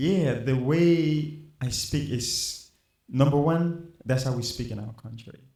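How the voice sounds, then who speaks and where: Speaking at a very slow pace in a Liberian accent, a man with a fairly high pitch and a dark, mellow, somewhat breathy tone uses ordinary pitch variation and big swings in loudness. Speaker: musician. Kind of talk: interview.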